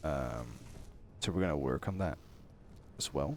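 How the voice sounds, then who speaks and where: A man talks at a moderate pace in a relaxed tone. Vocal fry runs through his voice. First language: not English. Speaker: gaming youtuber. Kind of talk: gameplay commentary. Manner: relaxed, hesitant with fillers.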